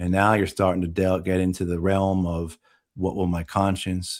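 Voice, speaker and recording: In an American accent, a man with a very deep, low voice talks at a fairly slow pace on a very clean recording with a silent background. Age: 50s. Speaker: war veteran. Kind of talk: interview.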